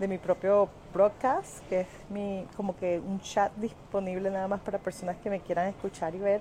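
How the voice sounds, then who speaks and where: A woman's medium-pitched voice at a moderate pace, with a Venezuelan accent. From Venezuela (Caracas). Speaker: social media influencer and wellness product seller. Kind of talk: casual live stream monologue. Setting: airport. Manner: animated. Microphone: quiet microphone.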